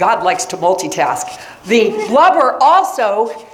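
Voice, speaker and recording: An American-accented woman with a fairly high pitch and an animated tone is heard through noticeable background noise and audible room echo. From Florida, US. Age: 60s. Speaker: science teacher. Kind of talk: lecture. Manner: conversational.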